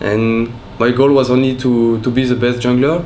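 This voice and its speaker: A man's medium-pitched voice in a French accent at a moderate pace, with audible room echo and noticeable background noise. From France. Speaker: professional esports player. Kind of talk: interview.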